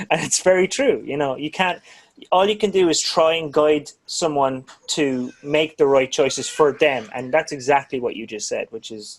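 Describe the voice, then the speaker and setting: A man's plain, everyday voice, fairly high in pitch with ordinary pitch variation, big swings in loudness and a moderate pace. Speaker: drum channel interviewer. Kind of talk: casual interview chat.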